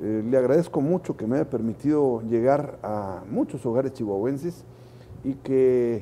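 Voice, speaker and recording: At a fairly slow pace, a man with a dark, mellow tone speaks at medium pitch with ordinary pitch variation. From Chihuahua, northern Mexico. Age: 60s. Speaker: political candidate. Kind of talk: interview.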